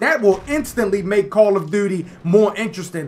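Noticeable background noise sits behind a man speaking in a high pitch at a moderate pace. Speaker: gaming YouTuber. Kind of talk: angry gameplay commentary rant to camera. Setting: home recording while playing a game. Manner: exasperated, indignant ranting with rhetorical questions; repetitive, stumbling delivery with repeated words.

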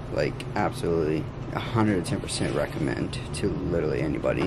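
Loud background noise fills the clip. Through it, a man talks. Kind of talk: casual vlog chat. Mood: relieved, upbeat after surgery. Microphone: phone near.

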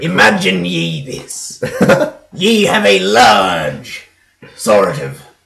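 A man uses a put-on character voice with a fairly low pitch. He talks at a very slow pace with long, frequent pauses. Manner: playful.

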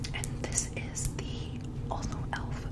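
A woman whispers over noticeable background noise. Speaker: ASMR creator. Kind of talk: ASMR get-ready-with-me makeup routine, casual talk to camera.

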